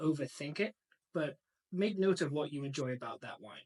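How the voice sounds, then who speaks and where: Moderate pace and ordinary pitch variation, with a slight English accent, in a dry, close sound with no echo. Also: man. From northern England, Macclesfield. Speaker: sommelier and wine importer. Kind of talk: casual interview chat.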